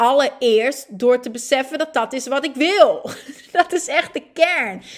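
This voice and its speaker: The woman speaks at a very slow pace. Her intonation is lively. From northern Netherlands (Groningen, Friesland). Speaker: podcast host, women's coach. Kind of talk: personal monologue. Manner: animated.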